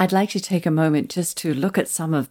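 This woman has a very deep, low pitch and a dark, mellow tone, speaking with a slight Australian accent on a very clean recording with a silent background. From Australia, Tasmania. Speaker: podcast host. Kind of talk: interview.

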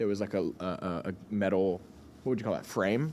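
A man's fairly low voice with a Texan accent, at a fairly quick pace. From Texas (Cleburne, small rural town). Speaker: musician. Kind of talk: casual chat. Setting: studio.

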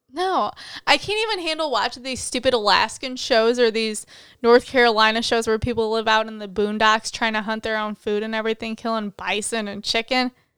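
At a fairly quick pace, a woman speaks in a plain, everyday voice with a fairly high pitch and ordinary pitch variation. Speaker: podcast co-host, accounting student. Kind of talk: casual chat.

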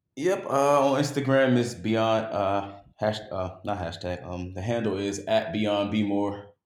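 With ordinary pitch variation and audible room echo, a man talks at a fairly slow pace. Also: fairly low pitch for a man. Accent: American. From West Baltimore, US. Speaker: travel blogger. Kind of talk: casual chat.

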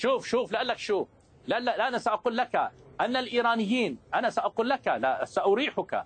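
With a Lebanese accent, a man speaks at an extremely high pitch with ordinary variation and very even loudness, the sound dry and close with no echo. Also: moderate pace. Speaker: political analyst. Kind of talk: heated debate. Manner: animated.

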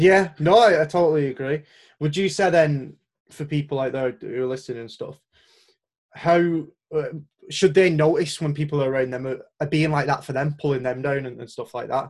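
Speaking at a moderate pace with a Lancashire accent, a man uses a fairly high pitch and ordinary pitch variation. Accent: Wigan, Lancashire. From Wigan, northern England. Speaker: podcast host. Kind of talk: casual interview conversation.

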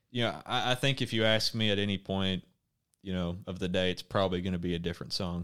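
In a very clean recording with a silent background, a man with a very deep, low voice talks at a very fast pace in an Arkansas accent. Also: ordinary pitch variation. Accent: US Southern (Arkansas). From Arkansas (Conway, Faulkner County). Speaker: university student. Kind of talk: casual chat.

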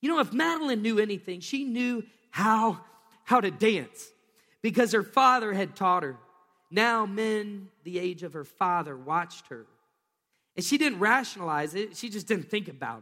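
In a raised, projected voice, a man with a high pitch speaks at a moderate pace with lively intonation, a bright, sharp tone and big swings in loudness, on a very clean recording with a silent background. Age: 30s. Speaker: pastor. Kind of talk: sermon. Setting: church.

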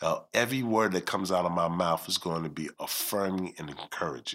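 In a very clean recording with a silent background, a man talks in a very deep, low pitch with a bright, sharp tone. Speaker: nonprofit executive director and community leader.

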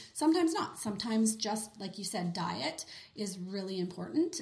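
A woman with a Canadian accent, medium pitch and audible room echo. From Western Canada (Kelowna, British Columbia). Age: 30s. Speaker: skincare specialist. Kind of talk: casual interview.

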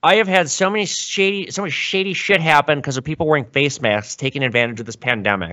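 A man with an American accent speaks at a very fast pace. His fairly high-pitched voice swings very widely in pitch. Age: 30s. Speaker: gold and silver dealer. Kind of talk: casual interview chat. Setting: video call.

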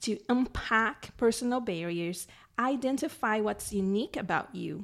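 A woman with a Brazilian accent speaks at a fairly slow pace and fairly high pitch with ordinary pitch variation. The recording is very clean with a silent background. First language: Portuguese. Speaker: life coach and podcast co-host. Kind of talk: interview conversation.

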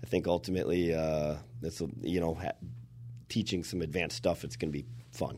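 A man with a Minnesota accent speaks at a fairly quick pace in a very deep, low voice, dark and mellow in tone, with vocal fry. His intonation is lively, and he takes long, frequent pauses. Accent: Minnesotan Midwest. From Minnesota, Anoka. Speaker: exterior contractor and consultant. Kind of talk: casual interview chat.

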